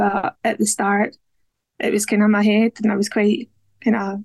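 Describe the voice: A woman's medium-pitched, slightly mellow voice with vocal fry, at a moderate pace, in a dry, close sound with no echo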